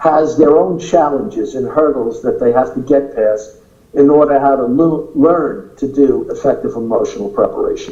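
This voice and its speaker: A man with a New York accent at a moderate pace. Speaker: acting teacher. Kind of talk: interview.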